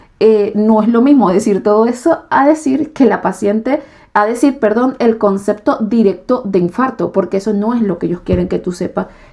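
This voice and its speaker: A woman with a Venezuelan accent speaks at a moderate pace in a dark, mellow tone, fairly high in pitch with ordinary pitch variation. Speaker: YouTuber and nursing trainee. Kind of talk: casual vlog explanation. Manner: hesitant fillers.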